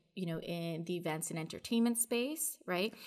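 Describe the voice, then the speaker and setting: A plain, everyday voice with a Canadian accent and ordinary pitch variation comes through in a very clean recording with a silent background. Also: woman. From Canada, Toronto. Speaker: project manager in audiovisual industry. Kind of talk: casual interview. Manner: frequent filler words (um).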